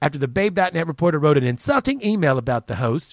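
Talking at a very fast pace with an animated tone and lively intonation, a man with a fairly high pitch and a Southern US accent comes through in a dry, close sound with no echo. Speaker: podcast host. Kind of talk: casual chat. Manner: rambling.

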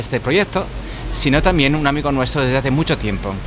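A man with a Spanish accent, very fast pace, ordinary pitch variation, and noticeable background noise. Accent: Spanish (Spain). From Spain. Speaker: podcast host and scientist. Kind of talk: casual chat. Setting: pub.

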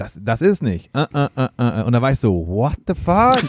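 An animated man's voice at medium pitch, dry and close with no echo. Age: 30s. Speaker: drummer and podcaster. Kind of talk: casual chat.

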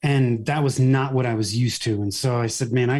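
A man with an American accent speaks in a medium pitch, somewhat breathy, with fairly even intonation. The recording is very clean with a silent background. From US, Northern California (Bay Area). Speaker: marketing agency owner. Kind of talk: interview.

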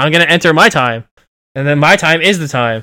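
On a very clean recording with a silent background, a man talks fairly quickly in a fairly high voice with a bright, sharp tone. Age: 30s. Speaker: gaming podcast co-host. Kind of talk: casual chat.

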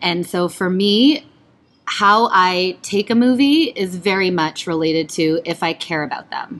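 A woman talks at a fairly slow pace in an ordinary speaking voice. Her medium pitch carries lively intonation. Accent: Canadian. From Canada, Ontario (partly raised in Pennsylvania). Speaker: stage performer. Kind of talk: casual chat.

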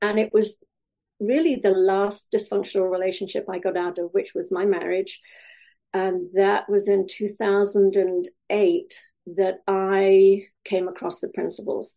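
A woman speaks with a Welsh accent in a medium pitch, her tone dark and mellow. Her intonation is monotone and flat, her pace fairly slow, and the background quiet. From Wales. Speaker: life coach. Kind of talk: interview.

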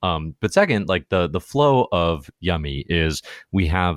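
A man's very deep, low voice with vocal fry, dry and close with no echo. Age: 30s. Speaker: podcast host. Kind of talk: interview.

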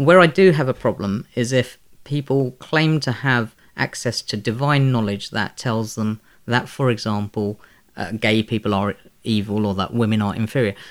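Recorded very cleanly with a silent background, a man with a London accent speaks at a moderate pace with ordinary pitch variation. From London, Elephant and Castle. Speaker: author and physics teacher. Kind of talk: interview. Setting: at his home.

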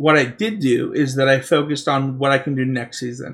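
A man with an American accent talks at a moderate pace and a fairly high pitch. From Utah. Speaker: podcast host. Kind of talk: casual chat.

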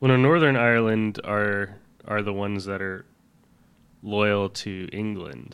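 Fairly low in pitch, a man talks at a fairly slow pace with ordinary pitch variation. Long pauses come often. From US South. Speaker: podcast co-host. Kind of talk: casual chat.

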